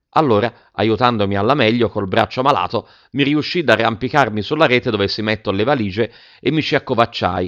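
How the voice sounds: The voice heard here is a natural reading voice.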